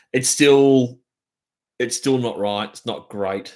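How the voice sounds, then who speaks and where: Delivered at a fairly slow pace in an Australian accent, the speech has fairly even intonation. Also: man. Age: 40s. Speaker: drummer. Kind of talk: casual chat. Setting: live stream from home.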